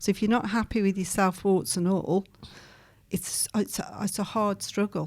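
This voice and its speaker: Here a woman talks at medium pitch and a moderate pace. Her intonation is monotone and flat. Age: 60s. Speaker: psychic healer. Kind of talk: casual chat. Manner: direct.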